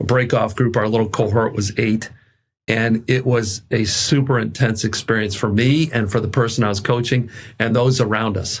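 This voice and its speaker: On a very clean recording with a silent background, a man speaks at a moderate pace and medium pitch, his intonation fairly even and his voice somewhat breathy. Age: 60s. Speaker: executive coach. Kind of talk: interview.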